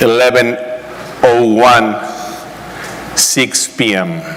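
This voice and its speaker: A man talks with a Spanish accent, and room echo is audible. Noticeable background noise runs behind him. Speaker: real estate broker. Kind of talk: conference talk.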